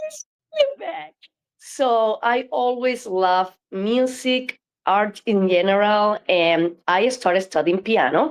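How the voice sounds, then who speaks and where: A woman's fairly high voice, lively in intonation, moves at a very slow pace. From Cuba. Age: 60s. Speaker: flamenco dancer and choreographer. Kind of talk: interview.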